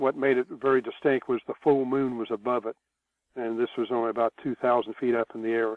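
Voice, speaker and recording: The speaker is a man. He goes at a fairly quick pace with monotone, flat intonation. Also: medium pitch for a man. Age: 70s. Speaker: UFO researcher, retired military. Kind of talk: interview. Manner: hesitant, many fillers.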